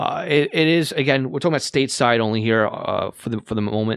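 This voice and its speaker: Dry and close with no echo, a man at medium pitch speaks with a Long Island accent. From Long Island, New York. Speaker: podcast host, radio scanner hobbyist. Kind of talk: casual podcast talk. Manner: halting, many fillers.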